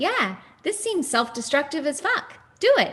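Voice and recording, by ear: A put-on character voice, high in pitch, with very wide pitch swings at a moderate pace.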